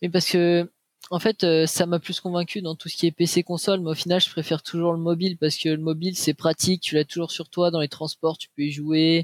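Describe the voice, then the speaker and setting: A man speaks in a high pitch with a monotone, flat delivery, the sound dry and close with no echo. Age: 20s. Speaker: esports player. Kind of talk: interview. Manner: halting.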